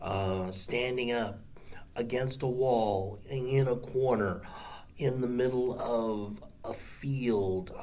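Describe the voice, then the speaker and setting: Over noticeable background noise and audible room echo, a man with a medium pitch speaks at a very slow pace with fairly even intonation. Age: 60s. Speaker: martial arts instructor. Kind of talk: casual monologue to camera. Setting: seated on the ground. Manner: halting, many fillers.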